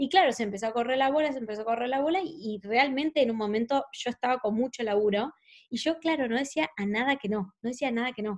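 Against a quiet background, a woman with a high pitch speaks at a very fast pace with ordinary pitch variation. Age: 20s. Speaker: makeup artist and actress. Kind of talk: casual interview.

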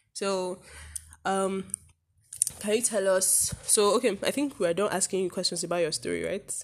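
A woman speaks at a moderate pace with a medium-pitched voice. Her speech has long, frequent pauses. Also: ordinary pitch variation. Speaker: podcast co-host. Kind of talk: casual chat. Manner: joking, playful banter.

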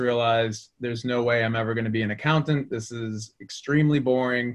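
A man speaks with a Boston accent. His pace is moderate and his intonation fairly even. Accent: Boston American. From Boston area, US. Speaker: sales executive. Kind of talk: conversational interview.

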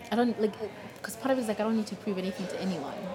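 A woman's ordinary pitch variation comes through noticeable background noise and audible room echo. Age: 40s. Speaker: singer-songwriter. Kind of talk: casual interview. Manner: halting.

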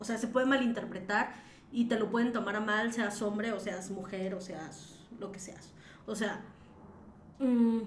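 With audible room echo and noticeable background noise, a woman speaks at a fairly high pitch and fairly slow pace, with fairly even intonation, big swings in loudness and long, frequent pauses. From Mexico City. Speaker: podcast co-host. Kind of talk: casual chat. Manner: laughs often.

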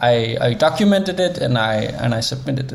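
Over noticeable background noise, a man with a Danish accent talks at a moderate pace, using a fairly high pitch and ordinary pitch variation. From Denmark. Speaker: interaction designer and creative coder. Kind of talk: interview.

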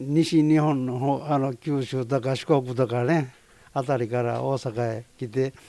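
A man talks at a fairly slow pace in a dark, mellow tone. His pitch is medium and his intonation fairly even. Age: 80s+. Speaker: roof tile company president. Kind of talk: interview.

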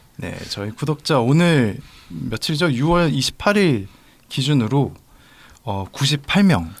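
Very wide pitch swings mark a man's fairly high voice on a very clean recording with a silent background. He talks at a very slow pace, with long, frequent pauses. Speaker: podcast co-host. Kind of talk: casual chat.

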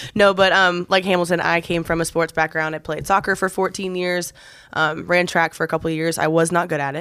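Her pitch is fairly low for a woman, and her intonation stays monotone and flat. She talks at a fairly quick pace. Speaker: gym coach and podcast host. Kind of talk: casual chat. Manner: loud.

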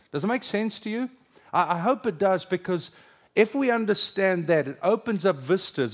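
Very wide pitch swings from a male speaker, the background quiet. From South Africa. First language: Afrikaans. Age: 50s. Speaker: pastor. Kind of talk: sermon. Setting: stage with audience.

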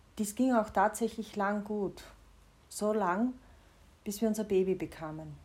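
A woman speaks at a fairly slow pace. Her delivery has long, frequent pauses. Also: medium pitch for a woman, fairly even intonation. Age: 40s. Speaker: personal diarist, podcaster. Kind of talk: personal narration, confessional.

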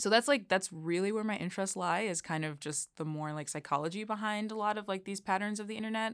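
With an American accent, a woman speaks at a fairly quick pace and a medium pitch. Her pitch varies in an ordinary way, and the recording is very clean with a silent background. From Chicago area, Illinois. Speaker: tech policy fellow. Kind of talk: interview. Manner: hesitant, many fillers.

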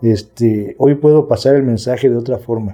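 A man speaks at a moderate pace with a Mexico City accent. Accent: Mexico City Spanish (chilango). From Mexico City (Milpa Alta / Xochimilco). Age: 40s. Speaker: recovering addict, recovery group leader. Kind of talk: testimony. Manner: calm.

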